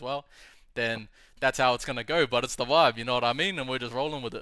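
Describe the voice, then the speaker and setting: A man with a medium-pitched, bright, sharp tone talks at a very fast pace in a dry, close sound with no echo, on a very clean recording with a silent background. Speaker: livestream host. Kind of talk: casual livestream chat. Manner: relaxed, laid-back right now.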